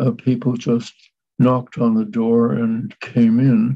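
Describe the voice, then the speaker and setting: A dark, mellow tone comes through at a very slow pace. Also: man. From Montreal, Quebec. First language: Yiddish. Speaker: son of a writer, guest. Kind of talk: interview. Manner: halting.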